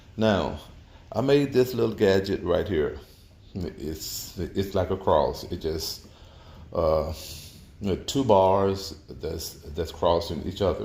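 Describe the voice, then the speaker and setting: A man's dark, mellow, somewhat breathy voice at a fairly low pitch, very slow, with long, frequent pauses and lively intonation. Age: 60s. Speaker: auto mechanic. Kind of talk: tutorial. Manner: halting, many repetitions and fillers.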